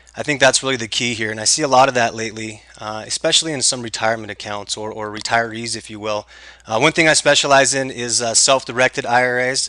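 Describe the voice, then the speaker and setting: A man speaks very fast at a medium pitch with a bright, sharp tone. His loudness swings widely. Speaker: tax lien investment trainer. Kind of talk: webinar presentation. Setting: recorded online webinar. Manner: animated.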